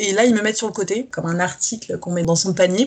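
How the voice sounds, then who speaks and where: Very fast speech carries ordinary pitch variation. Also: woman. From France, Paris region and south-west. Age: 20s. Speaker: fashion model. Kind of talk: casual interview chat.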